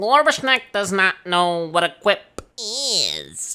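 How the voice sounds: A man uses a put-on character voice at a high pitch. He speaks at a very slow pace.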